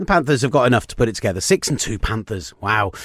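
A man with a British accent and medium pitch talks at a fairly quick pace. The recording is very clean with a silent background. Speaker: NFL podcast host. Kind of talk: casual sports chat. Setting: studio.

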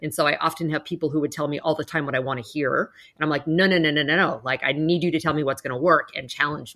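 With a very deep, low pitch, a woman speaks very fast and hardly pauses. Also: fairly even intonation. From Canada. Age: 40s. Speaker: business executive and speaker. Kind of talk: interview conversation. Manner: direct.

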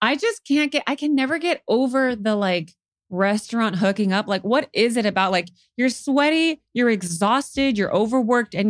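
A woman's normal speaking voice, fairly high in pitch, with lively intonation, a moderate pace and very even loudness on a very clean recording with a silent background. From California Central Valley, Modesto. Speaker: stand-up comedian. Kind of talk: casual chat.

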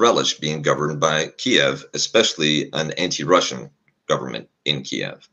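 Vocal fry runs through this man's speech. His pitch is very deep and low. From Poland. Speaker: Eastern Europe security analyst. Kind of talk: panel discussion.

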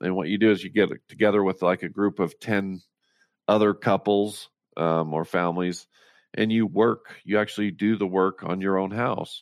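In an American accent, a man with an unremarkable speaking voice talks at a moderate pace, his fairly low pitch held to fairly even intonation, on a very clean recording with a silent background. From rural Utah (Roosevelt). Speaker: author and motivational speaker. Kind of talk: interview, personal story.

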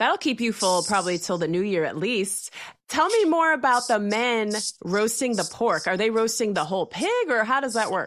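At a moderate pace, a woman with an unremarkable speaking voice and fairly high pitch talks with lively intonation and very even loudness. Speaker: radio host. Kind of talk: scripted intro and interview.

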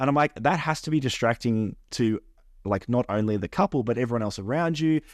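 A man with an Australian accent speaks at medium pitch and a fairly quick pace with lively intonation, his dry, close sound free of echo over a quiet background. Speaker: podcast co-host and wedding photographer. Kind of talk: casual chat.

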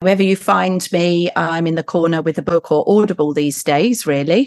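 Heard against a quiet background with a dry, close sound and no echo, a woman has an ordinary speaking voice, fairly low in pitch, with ordinary pitch variation and a moderate pace. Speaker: medium. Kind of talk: casual chat.

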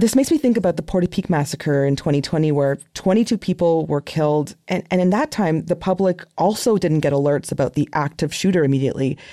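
In a very clean recording with a silent background, a woman with a dark, mellow tone and fairly low pitch speaks fairly quickly with lively intonation and hardly any pauses. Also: very even loudness. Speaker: podcast host. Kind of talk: interview conversation, news podcast.

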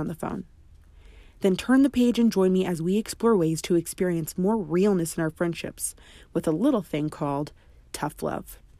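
Speaking at a moderate pace, a woman has a medium-pitched voice with a dark, mellow tone, a dramatic, warm tone and lively intonation. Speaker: podcast host and author. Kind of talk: audiobook reading of a memoir-style book chapter, then promo. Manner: expressive, dramatic storytelling, confiding and warm; direct, earnest, encouraging.

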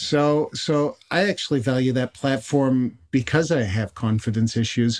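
On a very clean recording with a silent background, a man talks in a plain, everyday voice at a medium pitch and a fairly slow pace, with ordinary pitch variation, very even loudness and hardly any pauses. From Canada, Montreal. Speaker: photographer and educator. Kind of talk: casual chat.

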